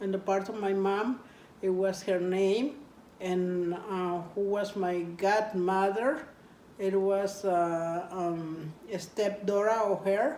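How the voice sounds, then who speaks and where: In a Spanish accent, a woman speaks very slowly at medium pitch with fairly even intonation, and room echo is audible. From Mexico, rural Jalisco. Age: 60s. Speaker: interviewee. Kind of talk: interview. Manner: halting.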